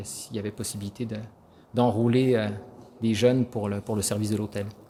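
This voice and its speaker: At a moderate pace, a man speaks in a fairly low, dark, mellow voice with monotone, flat intonation. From France. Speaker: church choir singer. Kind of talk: interview. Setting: church. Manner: halting.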